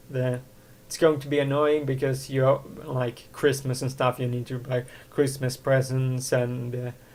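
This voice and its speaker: A man's somewhat breathy, medium-pitched voice, monotone and flat, at a fairly slow pace. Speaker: podcast host. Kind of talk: casual solo podcast talk. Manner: hesitant, rambling.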